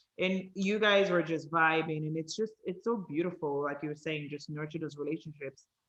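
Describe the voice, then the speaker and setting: In a Nigerian accent, a woman speaks with a very deep, low pitch. Her pace is moderate with hardly any pauses. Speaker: podcast host. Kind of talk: casual interview chat. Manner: animated.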